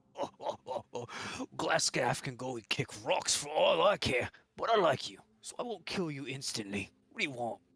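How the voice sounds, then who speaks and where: In a put-on character voice, a man speaks raspily at a fairly high pitch and a moderate pace. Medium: actual play. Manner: rough, blustering.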